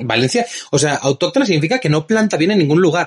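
A man talks with a Spanish accent in a somewhat breathy voice, the sound dry and close with no echo. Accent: Spanish (Spain). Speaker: wine distributor and tasting host. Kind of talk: casual interview. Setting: in-person studio chat. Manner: animated.

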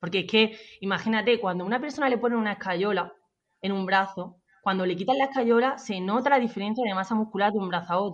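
Speaking very fast, the woman keeps a medium pitch that shows ordinary variation. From Andalusia, Jaén province. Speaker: personal trainer. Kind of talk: interview.

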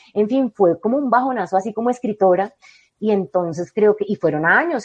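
Medium in pitch, a woman talks in an ordinary speaking voice. Her pace is fairly quick, with ordinary pitch variation. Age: 40s. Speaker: novelist. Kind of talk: interview.

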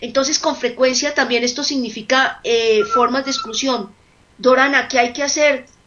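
A woman speaks in a high pitch at a moderate pace with fairly even intonation. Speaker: nursing professor and researcher. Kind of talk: radio interview.

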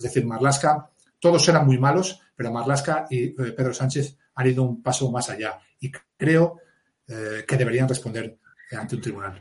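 A man with a somewhat breathy voice and a medium pitch speaks at a moderate pace, pitch varying normally, broken by long, frequent pauses. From Asturias, Spain (mining basin). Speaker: police officer and author. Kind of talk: interview.

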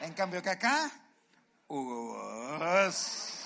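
A high-pitched man talks with a Chilean accent. His tone is animated, and his pitch swings very widely. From southern Chile. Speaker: comedian. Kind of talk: stand-up. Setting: stage with audience.

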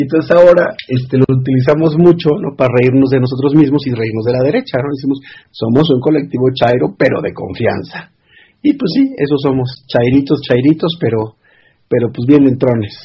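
At a moderate pace, a man speaks in a medium-pitched, somewhat breathy voice with ordinary pitch variation. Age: 40s. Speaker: cultural organizer and activist. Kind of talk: interview.

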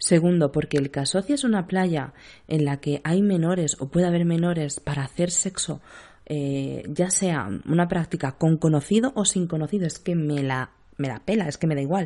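Over a quiet background, a dark, mellow voice speaks in a Sevillian accent. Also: woman, fairly low pitch for a woman, ordinary pitch variation, moderate pace. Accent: Andalusian (Seville). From Spain, Seville. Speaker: podcast host and nurse. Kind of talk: casual chat.

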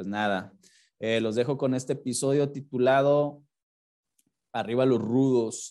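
A man with a medium-pitched, dark, mellow voice talks at a fairly slow pace with long, frequent pauses. His intonation is fairly even. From Mexico. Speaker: podcast host. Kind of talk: casual interview; show intro and outro.

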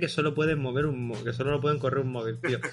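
The speaker talks at a fairly quick pace with vocal fry and fairly even intonation. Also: man. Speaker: podcast host. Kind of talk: casual chat.

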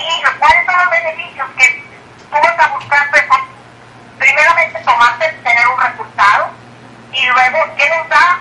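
A high-pitched woman uses a raised, projected voice at a fairly slow pace. Long, frequent pauses break her speech, and background noise is noticeable. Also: ordinary pitch variation. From Mexico, Tamaulipas. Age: 60s. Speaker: retired teacher turned businesswoman. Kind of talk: phone interview.

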